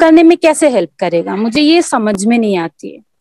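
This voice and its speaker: This is a woman speaking. The sound is dry and close, with no echo. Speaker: model and beginner actor. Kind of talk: question in online acting workshop.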